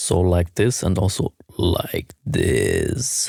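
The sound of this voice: In a put-on character voice, a man speaks very slowly. His voice is fairly low and raspy.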